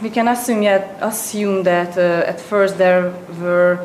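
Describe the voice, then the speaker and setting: Over noticeable background noise, a woman with a Hungarian accent speaks very slowly at a medium pitch in a flat monotone. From Hungary. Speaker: presenter at an economics seminar. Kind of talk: lecture. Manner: halting.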